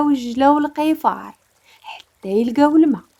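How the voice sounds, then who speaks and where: Calm in tone, a woman with a Moroccan accent has a high pitch, a dark, mellow tone and ordinary pitch variation. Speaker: storyteller. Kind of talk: storytelling narration.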